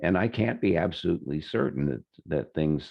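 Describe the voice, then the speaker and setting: At a moderate pace, a man speaks with lively intonation and vocal fry. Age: 70s. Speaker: healer giving a webinar. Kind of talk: webinar talk. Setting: online webinar. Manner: halting, many fillers.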